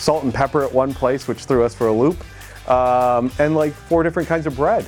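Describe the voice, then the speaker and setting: A man with a New York State accent talks at a fairly quick pace in a medium pitch. His intonation is lively, with music playing in the background. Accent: American (New York State). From upstate New York, USA. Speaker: motorcycle rider. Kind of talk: interview answer. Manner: casual, conversational.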